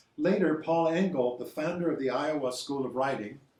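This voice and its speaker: A man with a fairly high-pitched voice talks at a fairly quick clip, with noticeable background noise and audible room echo. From Cuba. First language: Spanish. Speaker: author's son presenting a book. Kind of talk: book presentation talk. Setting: museum event with audience. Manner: halting.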